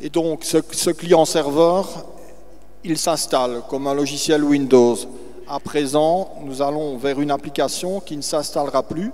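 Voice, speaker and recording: Noticeable background noise behind a man at a very slow pace, fairly high in pitch with fairly even intonation. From Belgium. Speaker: business owner. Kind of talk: panel testimony. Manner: halting.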